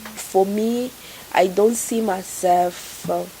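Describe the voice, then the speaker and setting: A woman at a medium pitch with monotone, flat intonation over noticeable background noise. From Congo, later Burundi and Kenya. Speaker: refugee. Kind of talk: personal testimony interview. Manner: repetitive, halting.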